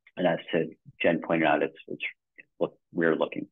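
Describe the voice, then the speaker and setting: A man with a New Jersey accent at a moderate pace. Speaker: webinar presenter, software co-founder. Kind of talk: webinar presentation. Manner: casual, conversational.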